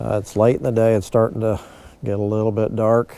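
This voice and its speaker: This man has a fairly low pitch and a dark, mellow tone. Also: dry sound with no echo. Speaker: resort marina owner giving a fishing report. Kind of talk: casual fishing report. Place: waterside.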